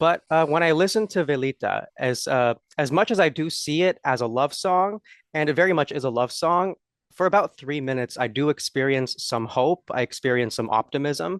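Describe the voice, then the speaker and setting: The recording is dry and close, with no echo. A man speaks at a moderate pace with a fairly high pitch and lively intonation. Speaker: interviewer. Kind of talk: interview. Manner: halting, many fillers.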